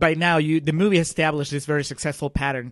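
A man with a fairly high pitch and a non-native accent, speaking very fast. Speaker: film podcast co-host. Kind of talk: casual chat.

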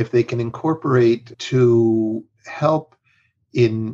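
Fairly even in intonation, a man talks at a medium pitch. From Mexico. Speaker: health strategy consultant. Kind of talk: interview conversation.

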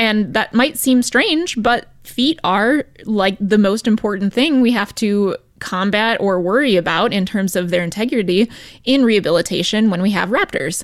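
A woman speaks in an ordinary speaking voice at a moderate pace and a fairly high pitch, with ordinary pitch variation and very even loudness. The recording is very clean, with a silent background. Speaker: wildlife rehabilitation program manager. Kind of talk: educational radio segment.

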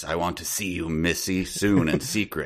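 Putting on a character voice, a man speaks with a very deep, low pitch at a moderate pace, with fairly even intonation and a hissing sound. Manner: secretive.

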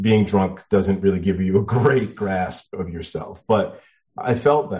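This man has an unremarkable speaking voice, pitched fairly low, with ordinary pitch variation and a moderate pace. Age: 50s. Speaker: poet and memoir author. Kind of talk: casual interview.

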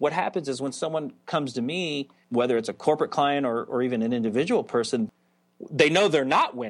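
With a plain, everyday voice, a man speaks at a medium pitch and a fairly quick pace, using ordinary pitch variation. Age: 40s. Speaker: psychologist and author, former professional BMX racer. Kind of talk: interview.

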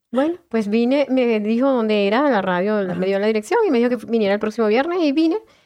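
A woman's very fast, fairly high voice with lively intonation, very even loudness and hardly any pauses. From Venezuela, Caracas. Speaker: volunteer radio presenter and craft entrepreneur. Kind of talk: radio interview.

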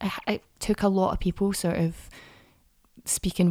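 A woman at medium pitch and moderate pace, with a dark, mellow tone and monotone, flat intonation, in dry, close sound with no echo. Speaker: actress. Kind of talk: casual chat.

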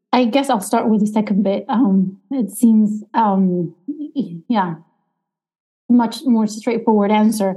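At a very slow pace, a woman speaks in a fairly high, somewhat breathy voice with a dark, mellow tone, ordinary pitch variation and very even loudness. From Argentina. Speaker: economics professor. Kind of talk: interview.

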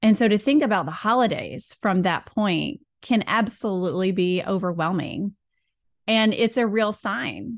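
Against a quiet background, a woman with an unremarkable speaking voice speaks at a moderate pace, her medium pitch showing ordinary variation. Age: 40s. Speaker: burnout recovery and women's health coach. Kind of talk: casual interview chat.

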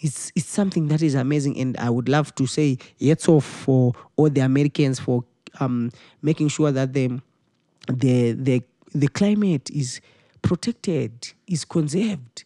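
This man has a Zimbabwean accent and a fairly high pitch with a dark, mellow tone. He talks at a fairly slow pace with long, frequent pauses, on a very clean recording with a silent background. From Zimbabwe, Harare. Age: 20s. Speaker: musician and music teacher. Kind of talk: interview. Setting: studio.

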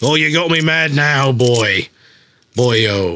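Putting on a raspy character voice with an Irish accent, a man speaks at a very slow pace and medium pitch. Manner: angry, gruff.

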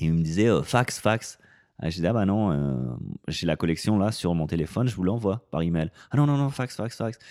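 In an ordinary speaking voice, a man speaks at a moderate pace with fairly low pitch and lively intonation. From France, Grenoble. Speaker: personal trainer and gym owner. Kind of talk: casual interview chat.

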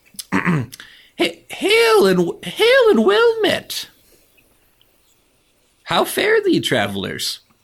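Using a put-on character voice at an extremely high pitch, a man speaks at a very slow pace with long, frequent pauses. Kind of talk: archaic, formal fantasy. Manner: greeting, friendly.

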